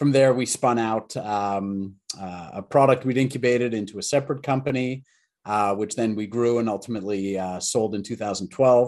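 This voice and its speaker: A man's fairly low voice in a Canadian accent, with ordinary pitch variation and a moderate pace. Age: middle-aged. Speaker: tech entrepreneur. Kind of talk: interview. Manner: halting, many fillers.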